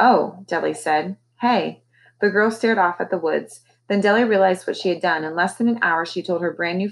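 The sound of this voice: The background stays quiet. Ordinary pitch variation runs through an unforced reading voice.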